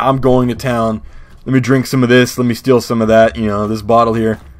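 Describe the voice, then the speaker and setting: A man speaks in a put-on character voice at a fairly quick pace. His voice is raspy and medium in pitch. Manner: hardcore.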